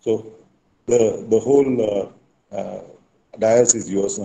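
A man speaks in a fairly low voice with a dark, mellow tone and fairly even intonation. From Pune, India. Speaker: MBA professor. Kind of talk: formal introduction. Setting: video call. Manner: halting. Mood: warm, friendly. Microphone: video call.

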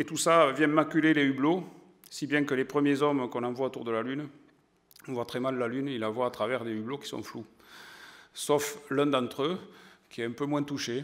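A man with an Occitan accent speaks at a moderate pace and a fairly high pitch, with fairly even intonation. He takes long, frequent pauses against a quiet background. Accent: southern French (Occitan). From southern France, Aude; southern France. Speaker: science journalist and magazine editor; science journalist lecturer. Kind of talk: lecture to an audience. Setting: stage with audience. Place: hall. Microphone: podium.

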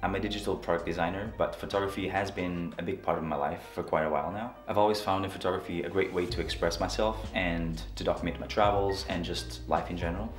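A man with a very deep, low pitch at a very fast pace, with audible room echo and clear music in the background. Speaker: photography vlogger. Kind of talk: casual vlog chat. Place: home room.

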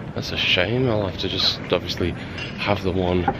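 Noticeable background noise sits behind a man's voice, with a dry sound and no echo. He speaks at a moderate pace. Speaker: travel vlogger. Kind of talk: casual vlog chat. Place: street. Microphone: phone near.

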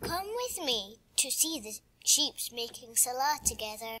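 This female-sounding voice is a put-on character voice, high in pitch and delivered at a fairly slow pace. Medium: read story. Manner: warm, gentle.

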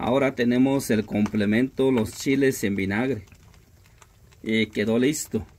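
Over noticeable background noise, a man of medium pitch talks at a fairly slow pace with fairly even intonation, very even loudness and long, frequent pauses. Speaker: vlogger. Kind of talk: vlog narration and interview. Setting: outdoors.

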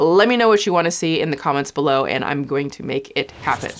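Female speech against a quiet background. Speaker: YouTube commentary host. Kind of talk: casual vlog chat. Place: studio.

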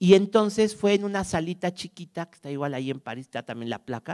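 Over a quiet background, a man speaks at a moderate pace with lively intonation in a Mexican accent. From Mexico. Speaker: archive director and music scholar; conference speaker. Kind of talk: lecture. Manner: halting; warm. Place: stage. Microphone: handheld.

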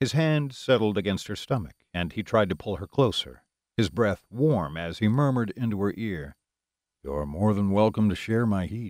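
An ordinary speaking voice from a man, fairly low in pitch, at a moderate pace with lively intonation, on a very clean recording with a silent background. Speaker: audiobook narrator. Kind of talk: literary audiobook reading, steady third-person romance narration with quoted dialogue. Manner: intimate, smooth and expressive, shifting to a low murmur for the sleepy, sensual lines.

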